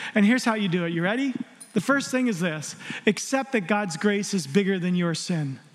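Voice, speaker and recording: Against noticeable background noise, a man speaks at a high pitch with lively intonation. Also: fairly quick pace. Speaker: preacher. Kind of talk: sermon. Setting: church with live congregation. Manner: animated; warm, conversational.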